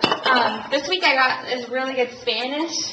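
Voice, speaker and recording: Over noticeable background noise, a woman uses a raised, projected voice with a high pitch. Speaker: home cooking video host. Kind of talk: cooking tutorial. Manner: casual, many fillers.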